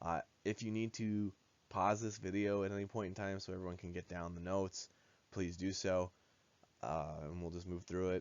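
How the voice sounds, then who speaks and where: The speech moves at a fairly quick pace with fairly even intonation and long, frequent pauses. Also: man, very deep, low pitch for a man. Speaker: high school biology teacher. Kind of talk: recorded lesson for students. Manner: hesitant, many filler uhs.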